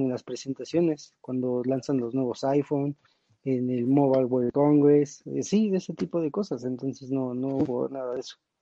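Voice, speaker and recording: In a normal speaking voice, a man talks at a moderate pace with a medium pitch and fairly even intonation. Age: young. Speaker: tech enthusiast panelist. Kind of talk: casual chat.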